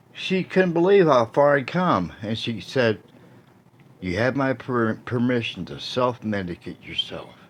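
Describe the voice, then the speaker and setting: Pitched at a medium level, a man's voice swings very widely in pitch. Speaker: video blogger. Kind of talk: casual monologue. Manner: halting.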